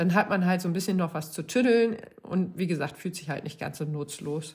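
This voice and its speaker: A woman talks in a fairly low, somewhat breathy voice. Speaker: running podcaster. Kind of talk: solo podcast monologue. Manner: casual, chatty with many fillers.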